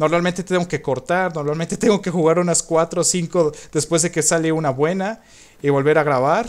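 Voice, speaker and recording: A man with a high pitch talks at a fairly quick pace with fairly even intonation. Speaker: gaming youtuber. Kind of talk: gameplay commentary. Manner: halting, repetitive. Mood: relaxed, reflective. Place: home room.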